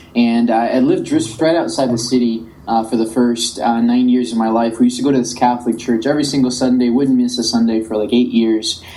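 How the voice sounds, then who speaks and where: A man rattles along at a very fast pace with hardly any pauses and very even loudness. His medium-pitched voice is monotone and flat, with audible room echo. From Colombia, then South Florida from age ten. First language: Spanish. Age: young. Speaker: tech entrepreneur. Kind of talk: podcast interview.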